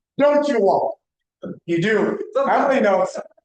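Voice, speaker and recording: A man speaks loudly. His pace is fairly slow. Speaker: real estate broker leading office meeting. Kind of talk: office meeting talk. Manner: animated.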